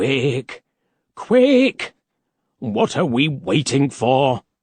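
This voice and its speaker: A man puts on a raspy character voice at a medium pitch. He delivers it at a very slow pace. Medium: read story. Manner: anxious, eager.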